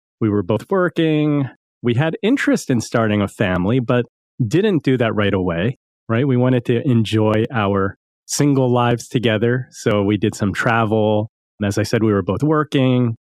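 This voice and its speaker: A plain, everyday voice from a man at medium pitch, with an American accent, ordinary pitch variation and very even loudness. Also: moderate pace. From US East Coast. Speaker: financial advisor and podcast host. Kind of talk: interview.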